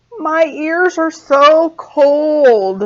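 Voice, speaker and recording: A woman puts on a character voice, pitched high. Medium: read story. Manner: soft.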